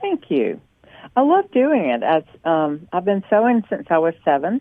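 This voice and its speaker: A woman with a Southern accent, medium pitch and very wide pitch swings, at a moderate pace and very even loudness. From US South, North Carolina. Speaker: small business owner. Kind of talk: interview.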